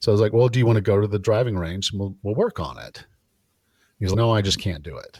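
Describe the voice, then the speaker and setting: On a very clean recording with a silent background, a man with a fairly low, somewhat breathy voice talks at a very fast pace with ordinary pitch variation. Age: 50s. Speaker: personal trainer and fitness podcast host. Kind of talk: casual interview chat.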